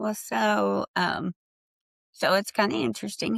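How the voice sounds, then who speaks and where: The woman's voice carries vocal fry and very wide pitch swings. It sounds dry and close, with no echo. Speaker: trauma survivor and book contributor. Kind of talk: testimony.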